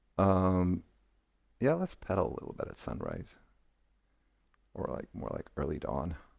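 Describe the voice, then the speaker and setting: Very deep, low male voice with vocal fry and lively intonation, a moderate pace, and long, frequent pauses. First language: not English. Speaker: gaming streamer. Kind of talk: live gameplay commentary. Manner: halting, many fillers.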